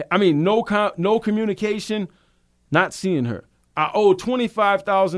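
This man speaks with a Louisiana accent at a high pitch and moderate pace, with ordinary pitch variation. The recording is very clean, with a silent background. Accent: Cajun Louisiana. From Louisiana, south of New Orleans. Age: 40s. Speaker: recovering alcoholic, sobriety talk host. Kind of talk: testimony. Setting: studio.

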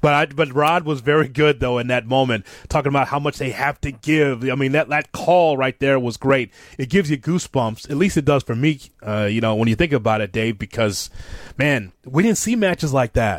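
The speech moves at a fairly quick pace in an animated tone with ordinary pitch variation. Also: man, fairly high pitch for a man. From Chicago, US Midwest. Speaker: wrestling radio host. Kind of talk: casual chat. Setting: studio.

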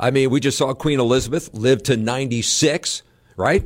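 A man speaks at a moderate pace in a medium pitch, with an ordinary speaking voice. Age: 60s. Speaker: political reporter. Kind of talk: casual interview.

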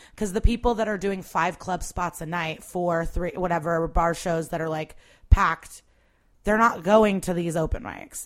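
A normal speaking voice in an American accent, moderately paced, with a very clean recording and a silent background. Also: woman. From US Midwest (Chicago area, Skokie). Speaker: stand-up comedian. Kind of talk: casual chat.

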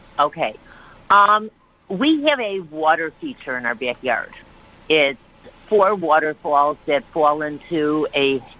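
Through noticeable background noise, a woman with an American accent speaks at a very slow pace in a very deep, low pitch, her intonation lively and her pauses long and frequent. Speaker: caller. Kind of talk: radio call-in, frustrated. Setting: phone call.

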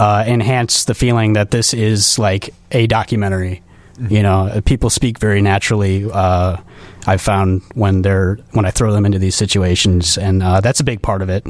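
A man with an American accent has an unremarkable speaking voice with a fairly low pitch. His pace is moderate, his intonation fairly even and his loudness very even. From Chicago southwest suburbs. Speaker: independent filmmaker. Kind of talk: casual interview.

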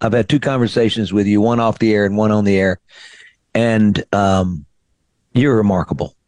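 Speaking at a moderate pace, a man with a Southern US accent and a fairly low pitch is recorded dry and close with no echo. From Mississippi (Greenville). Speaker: radio host and singer-songwriter. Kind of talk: interview.

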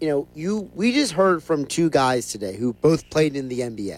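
A man talks in a plain, everyday voice at a fairly high pitch. His intonation is lively and his pace moderate. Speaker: radio show producer. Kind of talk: sports talk radio.

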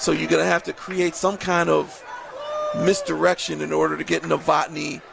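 With crowd noise in the background, a man talks at a moderate pace. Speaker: color commentator. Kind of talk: live sports commentary, color analysis. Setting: broadcast booth at a football stadium. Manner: measured, explanatory, analytical.

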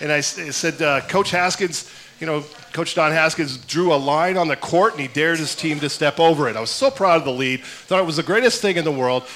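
A man speaks with a fairly high pitch and ordinary pitch variation. Noticeable background noise runs behind him. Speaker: sports reporter and TV broadcaster. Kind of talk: live radio talk show interview. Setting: live at a restaurant with audience.

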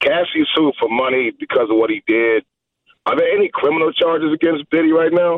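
A man with an American accent, fairly quick in pace and very even in loudness. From US Midwest (Milwaukee). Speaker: radio caller. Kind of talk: heated debate. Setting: phone call. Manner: argumentative.

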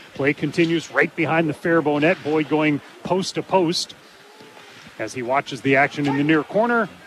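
A fairly high-pitched man at a fairly quick pace, over noticeable background noise. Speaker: radio sports broadcaster. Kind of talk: live play-by-play commentary. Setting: rink broadcast table, in arena. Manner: fast, fluent, clipped play-by-play delivery.

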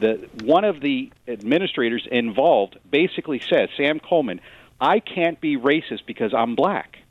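With a normal speaking voice, a man talks at a moderate pace, fairly high in pitch and lively in intonation. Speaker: attorney. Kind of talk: radio interview. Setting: phone call.

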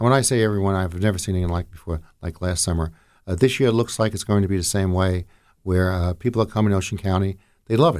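On a very clean recording with a silent background, a man with a New Jersey accent talks at a very fast pace in a very deep, low pitch with ordinary pitch variation. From northern New Jersey, Jersey City. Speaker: county commissioner. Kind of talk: radio interview.

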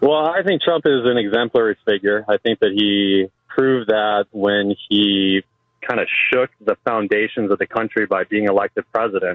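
A man with an ordinary speaking voice and fairly low pitch talks at a moderate pace, with ordinary pitch variation and very even loudness. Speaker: radio caller. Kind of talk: call-in conversation. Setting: phone call.

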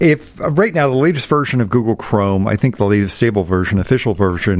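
A man talks at a medium pitch. Noticeable background noise sits behind him. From Alabama. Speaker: technology expert. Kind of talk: tutorial. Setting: studio.

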